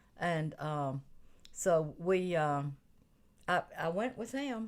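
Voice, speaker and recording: A woman speaks with an Alabama accent. Her pitch is fairly low. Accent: Southern US (Alabama). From US South (Atmore, Alabama). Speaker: retired bank HR worker. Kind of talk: casual chat. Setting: radio studio.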